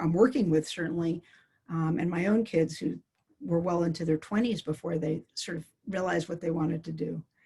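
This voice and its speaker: With an American accent, a woman talks at a fairly quick pace in a fairly low, somewhat breathy voice, dark and mellow in tone, with ordinary pitch variation. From US, New York City. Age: 60s. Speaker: clinical psychologist. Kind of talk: interview. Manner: halting.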